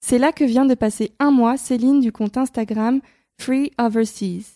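A woman with a high pitch and a dark, mellow tone speaks at a moderate pace with fairly even intonation, in a very clean recording with a silent background and a dry, close sound with no echo. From France. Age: 20s. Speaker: podcast host and freelancer. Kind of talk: scripted narration.

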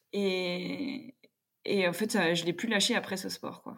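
A woman with a plain, everyday voice speaks at a fairly slow pace with fairly even intonation. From France, Jura. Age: 30s. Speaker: table tennis player. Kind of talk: casual chat.

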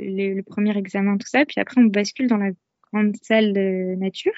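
Fairly even intonation from a woman, her pitch in the middle range. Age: 30s. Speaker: mother sharing birth story. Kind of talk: testimony. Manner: halting.

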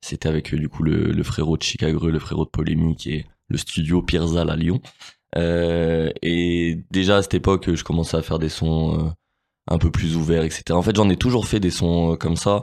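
A man's very deep, low pitch at a moderate pace, with fairly even intonation against a quiet background. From Grenoble, France. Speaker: rapper. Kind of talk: interview. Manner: halting.

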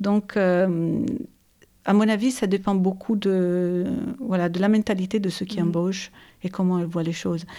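Speaking in an Italian accent, a woman with a medium pitch and a dark, mellow tone keeps a fairly even intonation at a fairly slow pace with long, frequent pauses, in a very clean recording with a silent background. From Italy, Turin area (Ivrea). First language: Italian (speaking French). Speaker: business executive. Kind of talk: interview. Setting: host's living room.

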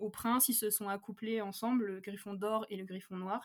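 A woman with a fairly high voice talks at a fairly slow pace in a monotone, flat manner. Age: 20s. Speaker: novelist. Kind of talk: casual chat.

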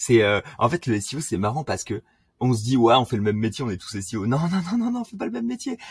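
Very fast and somewhat breathy, a man speaks at a medium pitch on a very clean recording with a silent background and a dry, close sound with no echo. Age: 20s. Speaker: SEO specialist. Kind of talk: casual interview.

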